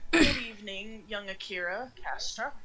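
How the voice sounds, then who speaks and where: At a moderate pace and fairly high pitch, a woman performs a put-on character voice over clear background noise. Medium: actual play. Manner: formal, polite.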